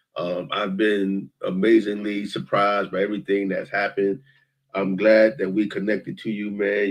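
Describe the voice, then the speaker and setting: A man speaks in a plain, everyday voice. His pitch sits fairly low. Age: 60s. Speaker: talk show host. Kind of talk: casual chat.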